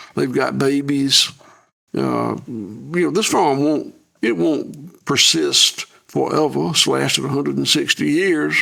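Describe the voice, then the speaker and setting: Speaking with a Southern US accent, a man keeps a fairly slow pace. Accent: Southern US (Georgia). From US South. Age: 70s. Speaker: farmer. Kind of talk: interview. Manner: halting, repeats words.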